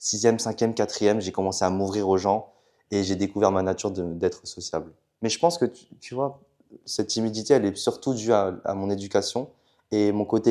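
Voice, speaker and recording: Dark and mellow in tone, the voice moves at a fairly quick pace with ordinary pitch variation over a very clean recording with a silent background. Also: man. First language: Chinese (speaking French). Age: young. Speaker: student entrepreneur. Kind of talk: casual chat. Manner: hesitant.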